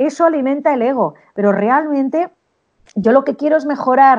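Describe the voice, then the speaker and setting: A woman with an ordinary speaking voice, a fairly quick pace, and lively intonation against a quiet background. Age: middle-aged. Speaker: sales consultant and speaker. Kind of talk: interview.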